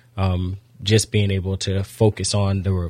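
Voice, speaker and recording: Very deep and low in pitch, a man's somewhat breathy voice carries an American accent. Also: very clean recording, silent background. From Florida (Daytona). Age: 30s. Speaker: youth football coach and nonprofit founder. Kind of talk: radio interview.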